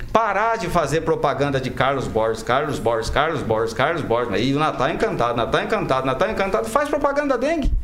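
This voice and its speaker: A man talks at a fairly quick pace with hardly any pauses and very wide pitch swings. Music plays in the background. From Brazil, Maringá, Paraná. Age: 40s. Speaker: lawyer and mayoral pre-candidate. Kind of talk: radio interview. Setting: radio studio.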